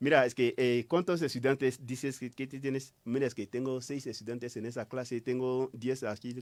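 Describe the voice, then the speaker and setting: The recording is very clean with a silent background. A man speaks with a French accent. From Ivory Coast. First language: French (speaking Spanish). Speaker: writer. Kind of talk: interview. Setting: radio studio. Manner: halting.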